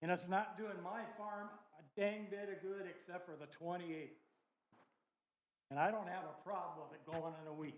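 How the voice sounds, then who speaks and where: A man with an American accent speaks at a moderate pace in a high pitch, his intonation fairly even. His loudness swings widely, and the room echo is audible. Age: 80s+. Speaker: farmer objecting at public hearing. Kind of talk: public testimony. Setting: county board public hearing. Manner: emotional.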